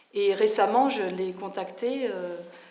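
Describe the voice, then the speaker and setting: Against noticeable background noise, a woman speaks at a fairly slow pace and a medium pitch. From France, Bobigny (Paris suburbs). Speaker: local resident. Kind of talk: testimony.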